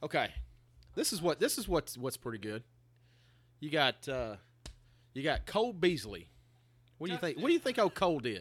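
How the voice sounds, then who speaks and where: Over a silent background in a very clean recording, a man with a fairly high pitch and vocal fry talks at a fairly quick pace, his pitch swinging very widely, with long, frequent pauses. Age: 20s. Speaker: sports podcast co-host. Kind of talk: casual chat. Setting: outdoor patio at a bar.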